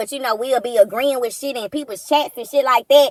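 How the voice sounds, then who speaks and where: A woman's raised, projected voice, high-pitched and animated, dry and close with no echo. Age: 40s. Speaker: commentary streamer. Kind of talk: casual rant.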